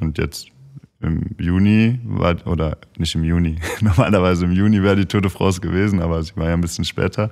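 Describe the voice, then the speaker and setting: At a fairly quick pace, a man talks in a very deep, low pitch with ordinary pitch variation. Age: 30s. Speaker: professional footballer. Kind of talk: casual chat.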